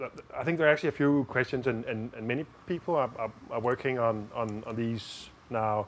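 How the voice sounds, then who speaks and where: With a Danish accent, a man talks at a fairly quick pace and medium pitch, his pitch varying in an ordinary way. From Denmark. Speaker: diplomat and lawyer. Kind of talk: interview. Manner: halting, many repeated words.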